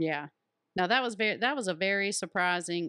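In a very clean recording with a silent background and a dry, close sound with no echo, a woman speaks at a fairly quick pace with a fairly low pitch, a bright, sharp tone and lively intonation. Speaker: host's mother. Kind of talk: casual family chat.

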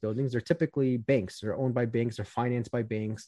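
In a dry, close recording with no echo, a man talks at a very fast pace with a medium pitch and a dark, mellow tone. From US Midwest, Chicago southwest suburbs. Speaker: financial planner. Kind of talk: casual interview.

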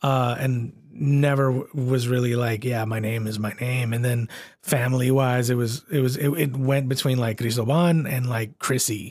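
A plain, everyday voice from a man with an American accent, medium pitch, fairly even intonation, a moderate pace and hardly any pauses. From San Antonio, Texas. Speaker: podcast host and author. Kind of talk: casual chat.

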